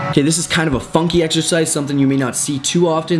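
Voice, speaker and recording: Music plays in the background as a man speaks. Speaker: fitness instructor. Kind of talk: workout tutorial. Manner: casual; fast.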